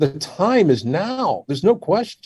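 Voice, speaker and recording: With an American accent, a man speaks at a fairly slow pace in a dark, mellow tone with vocal fry and very wide pitch swings. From Washington DC area, US. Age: 60s. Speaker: surgeon. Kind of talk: interview.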